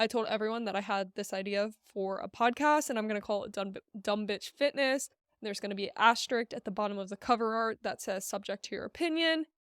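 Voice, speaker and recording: A woman at a fairly high pitch and a fairly quick pace, a plain, everyday voice, in a dry, close sound with no echo on a very clean recording against a silent background. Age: 20s. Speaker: fitness coach and podcast host. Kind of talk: casual solo podcast talk. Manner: casual, filler-heavy.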